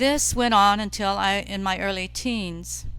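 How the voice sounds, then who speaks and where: Music plays in the background as a woman speaks. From US, Italian-American community. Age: 70s. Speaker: nun. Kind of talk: testimony.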